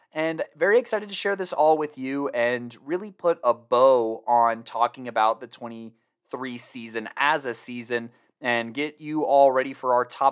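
Here a man has an ordinary speaking voice with an American accent. His medium pitch shows ordinary variation at a moderate pace. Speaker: high school football podcast host. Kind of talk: casual podcast recap with read ads.

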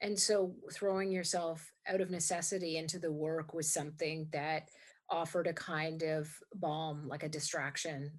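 A woman's very deep, low voice in a monotone, flat delivery, at a fairly slow pace over a quiet background. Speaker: podcast host. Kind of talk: scripted intro then interview.

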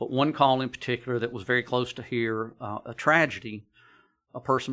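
A man's bright, sharp voice at medium pitch, flat and monotone, with an American accent. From US South, north Georgia. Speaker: county emergency services director. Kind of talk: podcast interview. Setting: studio.

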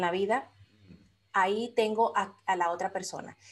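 A woman with an unremarkable speaking voice, pitched in the medium range. Her pitch varies in an ordinary way. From Dominican Republic. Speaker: life coach and business mentor. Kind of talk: interview.

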